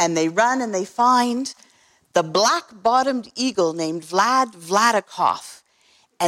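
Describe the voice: Quiet surroundings, plain read-aloud delivery, lively intonation.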